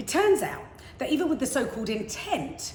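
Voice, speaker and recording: Energetic in tone with very wide pitch swings, a woman speaks amid noticeable background noise and audible room echo. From England, London. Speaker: motivational speaker. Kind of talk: prepared talk.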